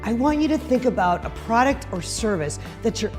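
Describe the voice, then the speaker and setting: A woman talks at a moderate speed. Behind her, music can be heard. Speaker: fundraising auctioneer and motivational speaker. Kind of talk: motivational speech to an audience.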